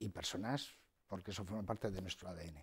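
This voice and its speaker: The speaker is a man. His voice is somewhat breathy. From Spain, Soria (Ágreda); Soria, Spain. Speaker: bank executive; interview guest. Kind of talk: TV interview. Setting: TV studio. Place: studio. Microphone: lapel.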